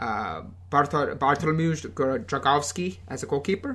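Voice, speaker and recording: Against a quiet background, a man with a fairly high pitch swings his voice very widely, using a bright, sharp tone and vocal fry. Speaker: football podcast co-host. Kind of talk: casual chat. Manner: hesitant, many fillers and repetitions.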